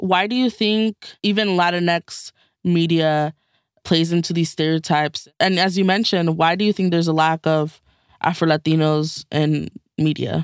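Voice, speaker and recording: Over a silent background in a very clean, dry, close recording with no echo, a woman with an ordinary speaking voice talks at a fairly low pitch. Her loudness is very even, her intonation fairly even, and her pace moderate. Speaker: moderator of youth reporter panel, alum reporter. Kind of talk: casual panel discussion.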